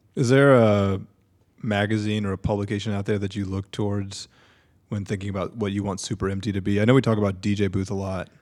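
A man talks very fast at a fairly low pitch, his intonation flat and monotone. The recording is very clean, with a silent background. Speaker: podcast co-host. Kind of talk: casual chat.

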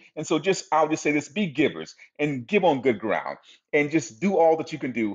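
At a fairly quick pace, a man talks in an ordinary speaking voice, his fairly high pitch showing ordinary pitch variation. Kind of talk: casual share.

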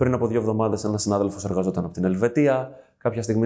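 The voice has a dark, mellow tone and moves at a very fast pace with ordinary pitch variation. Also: man. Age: 30s. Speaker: HR manager. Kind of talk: interview.

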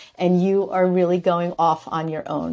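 Speaking with an American accent, a woman has an ordinary speaking voice, fairly low in pitch, with fairly even intonation at a fairly slow pace. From New York. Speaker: entrepreneur and author. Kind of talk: interview.

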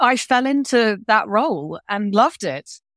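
A woman speaks with a British accent and ordinary pitch variation. The sound is dry and close with no echo, and the recording is very clean over a silent background. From UK. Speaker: business executive and professor. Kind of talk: interview.

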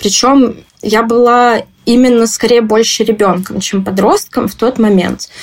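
In a normal speaking voice, a woman talks at a fairly slow pace, her pitch fairly high and her intonation fairly even. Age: 20s. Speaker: interviewee. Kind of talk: personal testimony.

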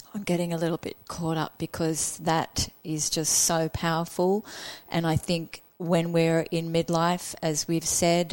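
A plain, everyday voice from a woman, fairly low in pitch and fairly slow in pace. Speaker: podcast host and coach. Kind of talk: casual interview chat. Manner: warm, upbeat.

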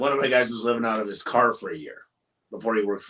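Speaking very fast, a man with an American accent has a medium pitch and a bright, sharp tone. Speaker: business owner. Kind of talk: interview. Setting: in person at an office. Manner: loud.

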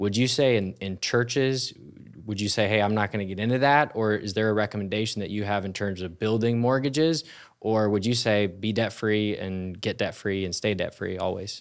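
A man speaks quite quickly at a fairly low pitch, in an ordinary speaking voice with ordinary pitch variation. The recording is very clean, with a silent background. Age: 20s. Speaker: pastor. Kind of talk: interview. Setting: church.

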